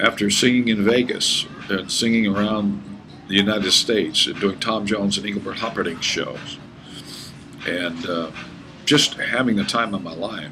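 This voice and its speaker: Over background music and audible room echo, a man speaks at a moderate pace in a fairly low pitch with ordinary pitch variation and long, frequent pauses. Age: 50s. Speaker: pastor. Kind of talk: sales pitch. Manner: animated.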